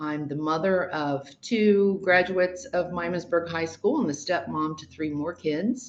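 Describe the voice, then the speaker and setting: With an American accent, a woman talks in an ordinary speaking voice, fairly low in pitch for a woman, with ordinary pitch variation. Her loudness swings a lot, and she leaves hardly any pauses. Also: fairly slow pace. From Ohio. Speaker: mayoral candidate. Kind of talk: candidate interview.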